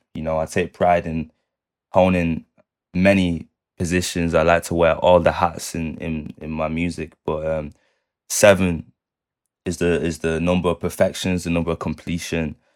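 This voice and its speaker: Over a very clean recording with a silent background, a man with a Manchester accent speaks at a moderate pace in a very deep, low pitch with monotone, flat intonation. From Manchester, England. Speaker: music producer and multi-instrumentalist. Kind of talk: casual interview chat.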